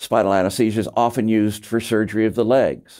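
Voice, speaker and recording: At a fairly quick pace, the voice comes through over a quiet background. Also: man. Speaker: medical lecturer. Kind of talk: lecture. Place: studio.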